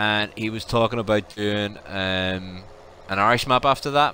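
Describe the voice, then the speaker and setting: Speaking in a Belfast accent, a man talks at a fairly slow pace with a fairly low pitch and fairly even intonation. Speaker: gaming livestreamer. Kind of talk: casual livestream chat. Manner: relaxed, many fillers (um).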